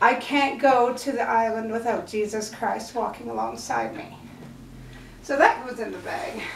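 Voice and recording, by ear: A woman at a fairly high pitch with vocal fry and lively intonation, at a fairly slow pace in strong room echo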